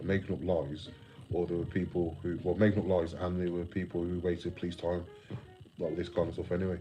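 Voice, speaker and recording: Audible room echo carries a man's very deep, low voice, dark and mellow in tone, as he talks at a fairly quick pace with an English Midlands accent. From England, West Midlands (Telford). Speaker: live streamer. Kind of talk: casual live stream chat. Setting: live stream reading chat. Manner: garbled, loose.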